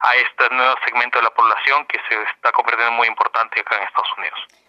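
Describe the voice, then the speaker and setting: A man talking at a very fast pace, in dry, close sound with no echo. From Peru, Lima. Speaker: bank executive. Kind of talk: radio interview. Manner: halting.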